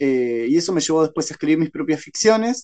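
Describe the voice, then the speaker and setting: A man with a plain, everyday voice, fairly high in pitch, with ordinary pitch variation. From Paraguay, Ciudad del Este. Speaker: novelist and secondary school literature teacher. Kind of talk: interview.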